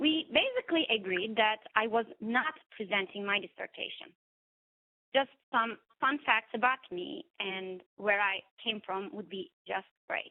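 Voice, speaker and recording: Speaking fairly slowly with a non-native accent, a woman uses lively intonation at a fairly high pitch. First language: not English. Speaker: therapist and coach giving a speech. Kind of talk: prepared speech. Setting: webinar.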